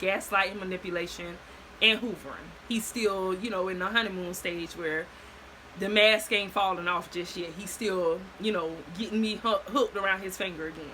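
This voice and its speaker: A woman with an American accent, medium pitch and fairly even intonation, amid noticeable background noise. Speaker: storyteller vlogger. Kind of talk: casual storytime monologue. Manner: fast.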